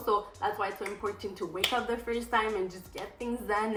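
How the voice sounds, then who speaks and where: A woman's fairly high, monotone, flat voice at a fairly quick pace, with noticeable background noise and audible room echo. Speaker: lifestyle vlogger. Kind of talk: casual vlog talk to camera. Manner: fast.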